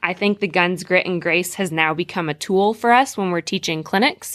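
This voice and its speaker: A woman with a normal speaking voice talks at a moderate pace and medium pitch. The very clean recording has a silent background and a dry, close sound with no echo. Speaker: horse trainer. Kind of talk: interview.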